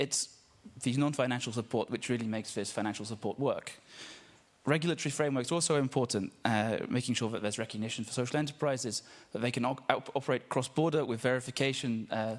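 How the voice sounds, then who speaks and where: A man with an English accent at a very fast pace, medium in pitch, with fairly even intonation. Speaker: social enterprise network representative. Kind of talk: panel speech. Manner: hesitant, many fillers.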